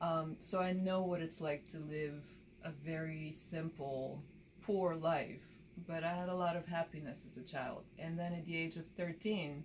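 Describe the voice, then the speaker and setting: Noticeable background noise behind a woman, her voice fairly low and her intonation fairly even. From Bulgaria, rural village; moved to Baltimore at 13. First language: Bulgarian. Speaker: documentary filmmaker and photojournalist. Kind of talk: interview.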